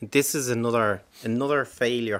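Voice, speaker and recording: A man with a Dublin accent is heard in a very clean recording with a silent background. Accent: Dublin Irish. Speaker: politician. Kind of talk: radio panel debate. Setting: studio.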